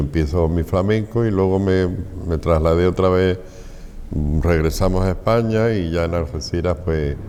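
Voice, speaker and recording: A man speaks in a very deep, low pitch at a moderate pace. His loudness stays very even. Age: 70s. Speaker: flamenco society president. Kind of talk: interview.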